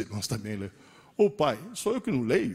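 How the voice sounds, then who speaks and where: This man's pitch swings very widely as he speaks. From Italy. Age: 60s. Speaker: teacher. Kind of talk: lecture. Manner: animated.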